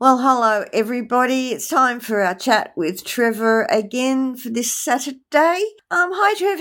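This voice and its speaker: A woman talks at a high pitch with very wide pitch swings, at a fairly slow pace with hardly any pauses. The recording is very clean, with a silent background. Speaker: podcast co-host. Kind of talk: casual chat. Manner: scripted intro reading.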